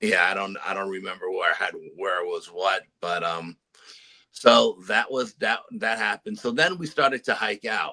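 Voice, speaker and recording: The recording is dry and close, with no echo. In it a man talks at a moderate pace. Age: 60s. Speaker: paranormal adventurer, storyteller. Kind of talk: interview storytelling.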